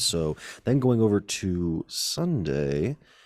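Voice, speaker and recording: Quiet and very deep, a man's low-pitched voice comes through a very clean recording with a silent background. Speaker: sports podcast host. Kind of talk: casual sports chat. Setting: public space. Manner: quiet, low-key.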